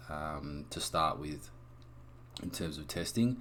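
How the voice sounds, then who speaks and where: A man's voice with vocal fry, lively intonation and a moderate pace. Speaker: game developer. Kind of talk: tutorial. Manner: casual.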